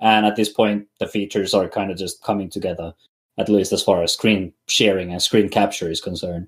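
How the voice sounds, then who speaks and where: A man speaks fairly quickly with a non-native accent. His pitch is fairly low and his intonation monotone and flat. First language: not English. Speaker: podcast co-host, Linux livestreamer. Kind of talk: casual chat. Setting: voice chat on Discord. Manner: halting, many fillers.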